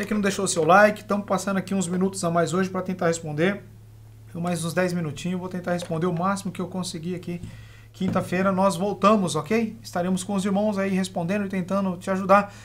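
A man's words rush out at a very fast pace while light background noise sits beneath them. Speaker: religious teacher hosting live Q&A. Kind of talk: live-stream Q&A on Bible teaching. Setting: live stream. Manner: calm.

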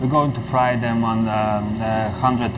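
A man talks at a fairly slow pace with little pitch movement. His fairly low voice sits over clear background noise.

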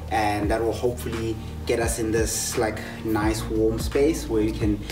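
Clear music plays in the background. Over it, a man talks at a fairly slow pace. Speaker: fitness instructor. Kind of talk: workout tutorial. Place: garden. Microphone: camera far.

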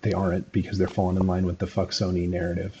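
Over light background noise, a man with a very deep, low pitch speaks very fast in a dark, mellow, somewhat breathy tone. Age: 30s. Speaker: gaming commentator. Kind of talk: video commentary monologue. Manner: halting, many fillers. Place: home room.

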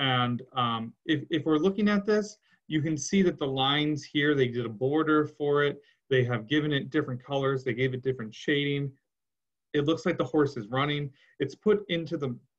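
In a quiet setting, a man talks at a moderate pace, his pitch varying in an ordinary way. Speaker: teacher. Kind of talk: lecture. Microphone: webcam.

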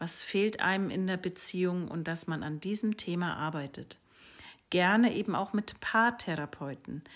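Heard against a quiet background, the voice moves at a moderate pace with ordinary pitch variation. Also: woman. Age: 40s. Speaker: sex and relationship coach; relationship coach. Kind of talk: social media monologue. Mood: calm, thoughtful, expressive. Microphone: phone near.

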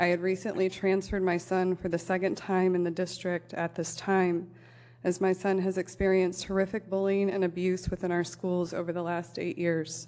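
In a Midwestern American accent, a woman speaks at a moderate pace with a dark, mellow tone, medium pitch and monotone, flat intonation. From US Midwest, Elkhart, Indiana. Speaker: parent advocate, public commenter. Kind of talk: prepared public comment at council meeting. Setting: city council meeting.

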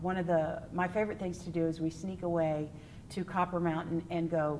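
Over light background noise, a woman with a Texan accent speaks at a moderate pace, her fairly low voice showing vocal fry. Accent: Texan American. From West Texas. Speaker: stage actor and singer; stage actress. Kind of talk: interview answers. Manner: animated. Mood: warm, cheerful. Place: stage. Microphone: lapel.

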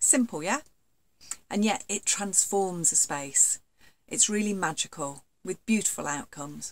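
Her intonation lively, a woman speaks at a fairly slow pace. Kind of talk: casual explainer talk to camera. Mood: warm, enthusiastic. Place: home room. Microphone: webcam.

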